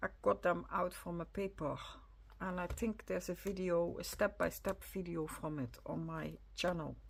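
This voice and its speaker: At a moderate pace, a woman talks with a Dutch accent. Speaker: crafter, video creator. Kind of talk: casual journal flip-through. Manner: halting, with many fillers.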